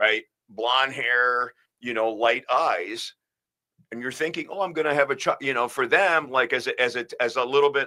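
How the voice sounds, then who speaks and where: A man's medium-pitched voice with a New York accent and a bright, sharp tone, in a very clean recording with a silent background. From US, Bronx, New York. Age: 50s. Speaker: spine surgeon. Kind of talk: casual interview. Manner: halting.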